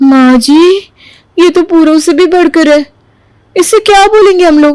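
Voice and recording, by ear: A woman performs a cartoonish character voice at an extremely high pitch. Her loudness stays very even. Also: moderate pace.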